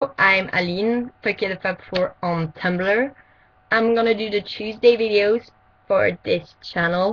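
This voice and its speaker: A woman with a French accent speaks at a medium pitch and a fairly slow pace, keeping her intonation fairly even. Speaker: vlogger. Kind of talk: casual vlog. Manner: halting, many fillers.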